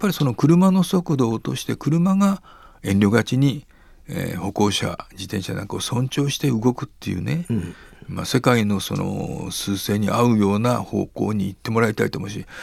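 Amid noticeable background noise, a man speaks at a moderate pace. His medium-pitched voice has very wide pitch swings. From Nara, Japan. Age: 70s. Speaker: cycling advocacy nonprofit head. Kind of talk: interview.

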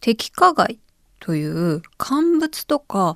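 A woman speaks with lively intonation. The sound is dry and close, with no echo, in a very clean recording with a silent background. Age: 30s. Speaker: podcast host. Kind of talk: solo casual podcast talk.

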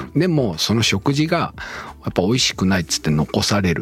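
Music plays behind a man whose moderately paced speech swings very widely in pitch. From Okayama, Japan. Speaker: chef. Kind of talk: casual interview.

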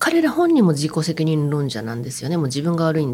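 Her pace stays moderate. The woman's voice is very deep and low in pitch. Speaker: writer and anti-poverty activist. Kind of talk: interview commentary.

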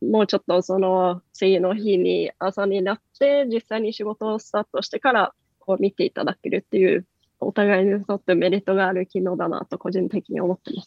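This is a woman speaking in a normal speaking voice. Her pitch is medium and her intonation fairly even. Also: fairly quick pace. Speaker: company executive. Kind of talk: radio interview.

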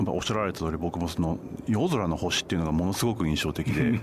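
A man speaks at a fairly quick pace. Noticeable background noise runs beneath him. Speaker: Asia travel writer. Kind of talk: radio interview.

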